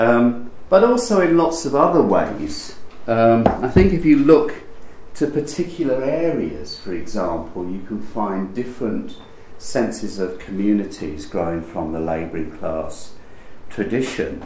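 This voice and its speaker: A man at a fairly slow pace with very wide pitch swings, light background noise and audible room echo. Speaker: literature professor. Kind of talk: academic lecture. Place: hall.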